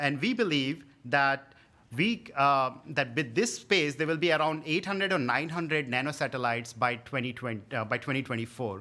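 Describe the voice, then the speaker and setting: A bright, sharp tone with lively intonation in an Indian accent, on a very clean recording with a silent background. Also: man. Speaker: tech product manager, guest speaker. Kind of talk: conference talk. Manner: halting.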